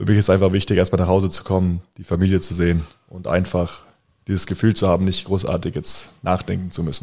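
On a very clean recording with a silent background, a man with a very deep, low pitch and a dark, mellow tone talks at a very fast pace in a monotone, flat intonation. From Bayreuth, Upper Franconia, Germany. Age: 20s. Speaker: professional basketball player. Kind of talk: interview.

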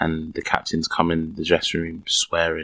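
Spoken at a moderate pace with a London accent, the recording sounds dry and close, with no echo. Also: man. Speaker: professional footballer. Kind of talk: interview. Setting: recorded in a fan shop. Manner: very soft-spoken.

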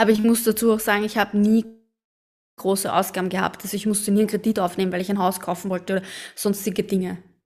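A woman with an Austrian accent speaks very fast at a medium pitch. Her delivery is monotone and flat, captured in a very clean recording with a silent background. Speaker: podcast co-host. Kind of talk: casual chat.

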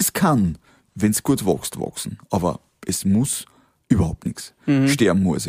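A man with a Lower Austrian accent speaks at a fairly low pitch, with vocal fry and a dark, mellow tone. His pitch swings very widely, long pauses come often, and the sound is dry and close with no echo. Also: fairly slow pace. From Austria, Waldviertel (Lower Austria). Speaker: company founder. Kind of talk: interview. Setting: cabin on location. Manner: animated.

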